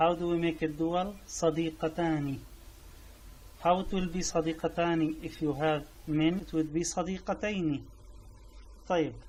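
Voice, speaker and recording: A high-pitched man with a Syrian accent speaks at a fairly slow pace in a monotone, flat intonation, leaving long, frequent pauses. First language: Arabic. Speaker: language teacher. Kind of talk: tutorial. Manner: halting.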